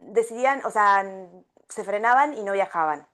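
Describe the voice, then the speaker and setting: A woman with an Argentine accent at a fairly slow pace, lively in intonation, against a quiet background. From Argentina. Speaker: travel coach and travel agency founder. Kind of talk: podcast interview. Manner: many hesitations (eh, em).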